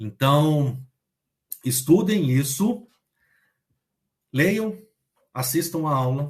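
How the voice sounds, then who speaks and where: A somewhat breathy man's voice at a fairly high pitch. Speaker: online math teacher. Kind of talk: online lecture.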